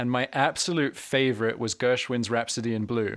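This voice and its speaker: Over a silent background in a very clean recording, a man speaks with a Scottish accent in a medium pitch. His pace is moderate and his intonation fairly even. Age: 30s. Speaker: harmonica teacher and podcast host. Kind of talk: casual interview chat.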